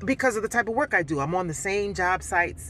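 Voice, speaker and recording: A woman talks at a very fast pace with lively intonation and vocal fry. The sound is dry with no echo, over light background noise. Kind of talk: casual vlog chat. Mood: reflective, venting about ex. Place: car. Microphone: phone near.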